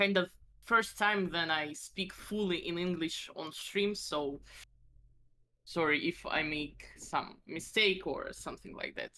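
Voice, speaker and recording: In a Russian accent, a woman talks at a fairly slow pace with a fairly low pitch and ordinary pitch variation. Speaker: vtuber. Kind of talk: casual chat. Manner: halting.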